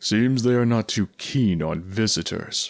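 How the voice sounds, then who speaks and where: Using a put-on character voice, a man talks at a fairly slow pace and a medium pitch. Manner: clear, majestic.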